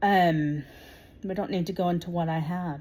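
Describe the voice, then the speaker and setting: A woman speaks in a fairly low pitch with a dark, mellow tone, somewhat breathy, using fairly even intonation at a moderate pace. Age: 40s. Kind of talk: direct-to-camera political monologue. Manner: hesitant, many 'um' fillers.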